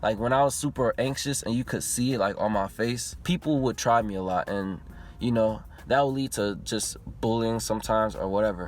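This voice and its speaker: A man's unremarkable speaking voice at medium pitch, with ordinary pitch variation and a fairly quick pace. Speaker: YouTuber. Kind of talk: personal vlog monologue. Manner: casual.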